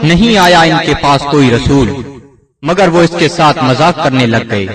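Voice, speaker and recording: Speaking very slowly, a man uses lively intonation at a fairly high pitch, keeping his loudness very even. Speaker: Urdu translation reader. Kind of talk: translation reading.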